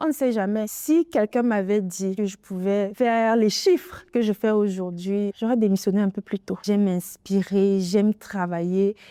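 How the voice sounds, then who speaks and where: A woman uses a normal speaking voice at a medium pitch, with ordinary pitch variation and a moderate pace. The sound is dry and close, with no echo. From Cameroon, Bamileke (Yemba-speaking). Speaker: entrepreneur, café owner. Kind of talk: interview testimony.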